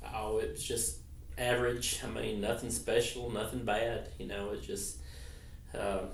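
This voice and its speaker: Over noticeable background noise and audible room echo, a man with an American accent speaks at a fairly slow pace. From Arkansas (Clinton). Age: 50s. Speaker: interviewee, veteran's son. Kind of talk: oral history interview. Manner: hesitant, many fillers.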